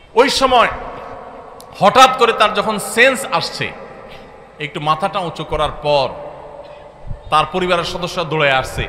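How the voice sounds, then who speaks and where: A man projects a raised, high-pitched voice with lively intonation. Noticeable background noise runs underneath. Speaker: Islamic preacher. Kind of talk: Islamic sermon (waz).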